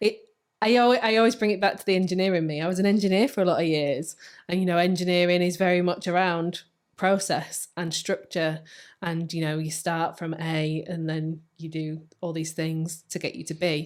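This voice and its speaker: Heard in a very clean recording with a silent background, a woman with a fairly low pitch speaks at a moderate pace with fairly even intonation. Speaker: coach and former engineer. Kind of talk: casual chat. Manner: loud.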